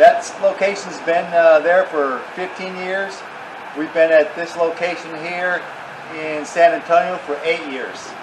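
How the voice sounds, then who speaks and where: The speech comes at a fairly slow pace in a flat monotone, with big swings in loudness and noticeable background noise. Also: man, high pitch for a man. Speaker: landscape supply business owner. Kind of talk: street-seller pitchman patter, product rundown. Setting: outdoors. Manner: brisk, salesy. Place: open country. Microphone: camera far.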